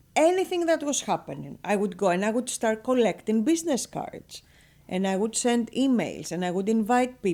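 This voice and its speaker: A woman with a Greek accent speaks with a dark, mellow tone at a fairly high pitch. Her pitch swings very widely, and the recording is very clean with a silent background. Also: moderate pace. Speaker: real estate broker and business owner. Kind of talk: radio interview. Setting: radio studio. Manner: animated.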